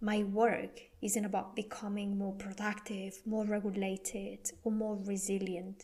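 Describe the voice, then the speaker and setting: With a Spanish accent, a woman talks at a fairly slow pace with hardly any pauses, her medium-pitched voice somewhat breathy, dark and mellow, and her intonation monotone and flat. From Spain. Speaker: podcast host and wellbeing coach. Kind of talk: podcast monologue. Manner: deliberately slow, careful pronunciation.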